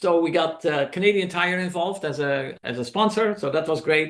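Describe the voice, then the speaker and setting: A man with a Dutch accent and a fairly high pitch talks at a moderate pace against a quiet background. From Netherlands. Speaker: documentary filmmaker. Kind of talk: presentation to a club meeting. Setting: club meeting, in person and on video call. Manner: hesitant, many fillers.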